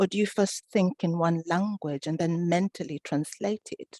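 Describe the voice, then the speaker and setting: In a dry, close sound with no echo, a woman with an East African accent speaks at a fairly low pitch in a dark, mellow tone. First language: Swahili. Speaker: author and event moderator. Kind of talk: online panel interview.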